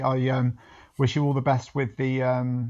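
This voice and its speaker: Over a quiet background, a man with a British accent speaks at medium pitch in a monotone, flat intonation. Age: 30s. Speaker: business founder. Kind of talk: podcast interview. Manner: halting, many fillers and repeats.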